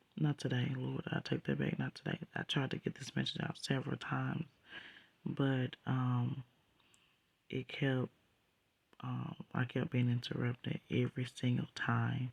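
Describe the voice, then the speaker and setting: This soft-spoken voice moves at a fairly slow pace with long, frequent pauses. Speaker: dream sharer. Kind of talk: testimony.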